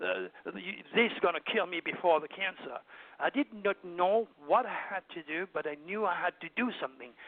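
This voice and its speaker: This man speaks with a French accent at a moderate pace. His pitch is high, with ordinary variation. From southern France, Provence. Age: 70s. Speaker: astrologer and hypnotherapist. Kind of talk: interview. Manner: animated.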